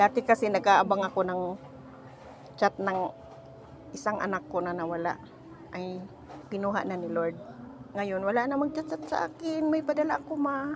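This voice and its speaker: A woman at medium pitch speaks at a moderate pace, with very wide pitch swings and long, frequent pauses. Background noise is noticeable. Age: 60s. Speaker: vlogger. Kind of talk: casual vlog. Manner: animated.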